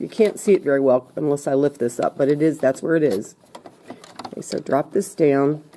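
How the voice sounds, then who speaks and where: Noticeable noise fills the background. The talking proceeds at a moderate speed. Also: woman. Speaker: sewing teacher. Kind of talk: tutorial. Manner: casual, step-by-step.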